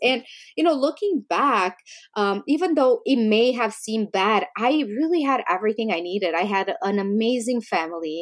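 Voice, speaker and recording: With lively intonation and a medium pitch, a woman speaks at a moderate pace on a very clean recording with a silent background. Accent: Romanian. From Romania. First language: Romanian. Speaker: business founder and CEO. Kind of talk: casual interview chat.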